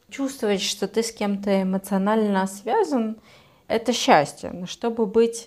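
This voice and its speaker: A woman at a medium pitch and fairly slow pace, in an ordinary speaking voice. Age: 20s. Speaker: psychologist, podcast co-host. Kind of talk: casual chat.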